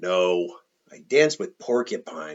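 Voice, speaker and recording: Here a man puts on a character voice. He pitches it very deep and low. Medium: read story.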